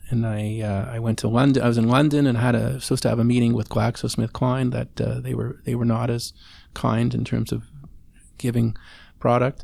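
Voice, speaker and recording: With a Canadian accent, a man talks at a very fast pace in a very clean recording with a silent background. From Montreal, Quebec. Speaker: family doctor. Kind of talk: casual chat.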